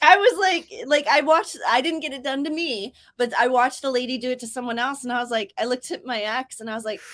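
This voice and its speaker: A woman with an American accent speaks very fast with hardly any pauses, her high pitch and lively intonation paired with big swings in loudness. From US South, Georgia. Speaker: writing streamer. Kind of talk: casual chat. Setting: livestream.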